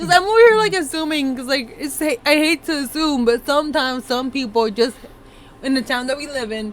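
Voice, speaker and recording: A woman speaks at a high pitch. Noticeable background noise runs underneath. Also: lively intonation, fairly quick pace. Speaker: podcast co-host. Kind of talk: casual chat.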